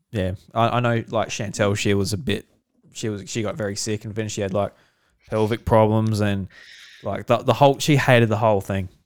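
This man talks at a fairly quick clip in a fairly low register, captured on a very clean recording with a silent background. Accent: Australian. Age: 20s. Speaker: podcast host. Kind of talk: casual chat. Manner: animated.

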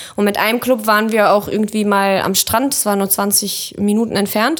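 Her pitch fairly high and her intonation fairly even, a woman speaks at a fairly quick pace. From Kazakhstan, moved to Germany at six. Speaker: photographer. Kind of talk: casual chat.

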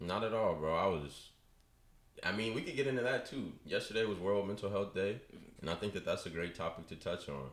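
Speaking at a fairly quick pace with lively intonation, the voice carries an American accent over audible room echo. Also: man, fairly low pitch for a man. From US West Coast, Bay Area (Richmond, California). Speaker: sports broadcasting assistant. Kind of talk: casual interview chat. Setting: studio.

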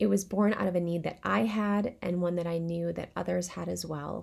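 The talking proceeds at a moderate pace as music sounds behind it. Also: woman. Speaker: meditation host. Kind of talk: guided meditation. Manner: warm, reassuring.

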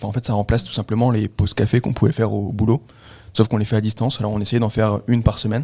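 A man talks very fast in a fairly low, dark, mellow voice that is somewhat breathy and monotone. The recording is very clean, with a silent background. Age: 20s. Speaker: cybersecurity consultant. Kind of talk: interview. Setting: studio.

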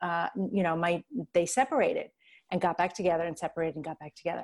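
A woman's plain, everyday voice in an American accent, medium pitch with ordinary pitch variation. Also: very clean recording, silent background. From New York. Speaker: life coach. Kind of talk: personal testimony in interview.

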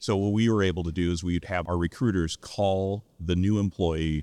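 Against a quiet background, a dark, mellow voice speaks at a moderate pace with fairly even intonation and very even loudness. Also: man. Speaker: senior living CEO. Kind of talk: interview. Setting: conference recording.

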